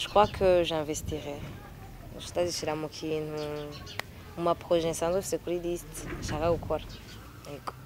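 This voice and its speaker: With a very deep, low pitch and flat, monotone intonation, a woman talks at a fairly slow pace with long, frequent pauses against noticeable background noise. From Burundi. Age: 20s. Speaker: singer and student. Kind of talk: interview.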